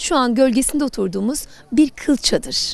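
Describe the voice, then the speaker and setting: A woman's high voice with very wide pitch swings. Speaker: TV presenter. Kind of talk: TV program presenting to camera.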